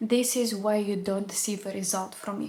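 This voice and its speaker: Noticeable background noise sits behind a voice with a non-native accent and monotone, flat intonation. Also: woman. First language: not English. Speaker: nutritionist. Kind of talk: educational video monologue.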